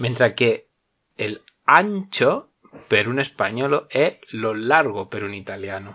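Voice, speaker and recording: The speaker has a Spanish accent and talks at a very slow pace with long, frequent pauses. Loudness swings widely and the intonation is lively. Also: man, medium pitch for a man. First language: Spanish (speaking Italian). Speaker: language teacher. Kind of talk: casual chat.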